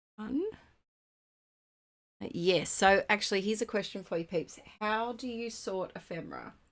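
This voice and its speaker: A woman speaks with an Australian accent. Her speech has long, frequent pauses. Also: ordinary pitch variation, moderate pace. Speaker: scrapbooking craft YouTuber. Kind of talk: casual livestream chat while crafting. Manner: halting, with fillers.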